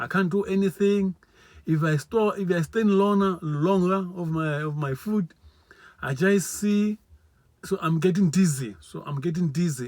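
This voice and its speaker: This man speaks with a non-native accent. His pace is moderate and his pitch variation ordinary. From South Africa, Limpopo. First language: not English. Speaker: vlogger. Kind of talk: testimony. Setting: live video. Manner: repetitive, halting.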